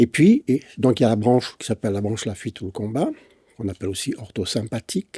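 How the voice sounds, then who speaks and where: At a moderate pace, a dark, mellow voice comes through a very clean recording with a silent background and a dry, close sound with no echo. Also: man. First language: English (speaking French). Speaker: physician and breathing expert. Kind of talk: interview dialogue. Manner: hesitant, with frequent fillers.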